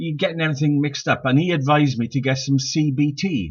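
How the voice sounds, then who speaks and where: A man's fairly high, somewhat breathy voice with a Welsh accent, ordinary pitch variation and a moderate pace. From Wales, Swansea Valley. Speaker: stand-up comedian. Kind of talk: stand-up. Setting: live-streamed online show. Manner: halting.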